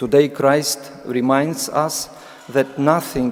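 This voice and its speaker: A man's fairly high voice with a Ukrainian accent, at a very slow pace, over noticeable background noise. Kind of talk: sermon. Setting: church. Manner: reading aloud, halting with fillers.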